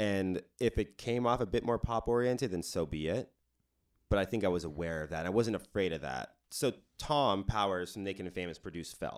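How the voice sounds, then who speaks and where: Recorded very cleanly against a silent background, a man talks at a fairly quick pace with lively intonation. His fairly low voice is a plain, everyday voice. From Hawaii and Denver, Colorado. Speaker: musician. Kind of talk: casual chat.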